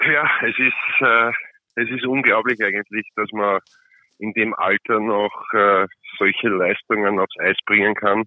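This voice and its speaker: With long, frequent pauses, a man delivers his words at a very slow pace. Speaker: ice hockey player. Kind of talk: interview. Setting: phone call.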